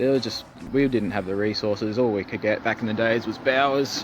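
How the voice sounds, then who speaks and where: A man speaks at a fairly quick pace with an Australian accent. His fairly low voice keeps a fairly even intonation. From South Australia. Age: 30s. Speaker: skating vlogger. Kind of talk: casual vlog monologue. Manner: halting, many fillers.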